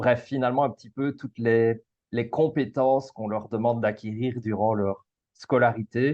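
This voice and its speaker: Delivered at a fairly slow speed, the speech keeps its intonation fairly even. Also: man. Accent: Belgian. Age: 30s. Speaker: school coach. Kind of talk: casual interview. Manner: halting, frequent repetitions and fillers.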